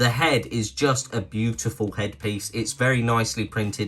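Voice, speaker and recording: A man with a British accent speaks at a moderate pace in a medium pitch, his tone bright and sharp and his pitch varying in an ordinary way. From Britain. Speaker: toy review youtuber. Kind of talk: product review. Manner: casual, chatty.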